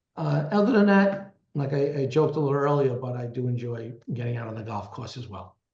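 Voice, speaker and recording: A man with a Brooklyn accent, lively intonation and a fairly quick pace. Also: medium pitch for a man. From Brooklyn, New York (Canarsie). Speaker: lawyer and business strategist. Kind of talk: interview. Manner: halting, many repetitions.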